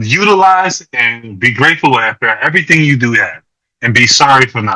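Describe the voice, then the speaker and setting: The tone is bright and sharp, the intonation lively, and the pace moderate. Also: man. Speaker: brain injury survivor. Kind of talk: podcast interview. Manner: halting, repeats words.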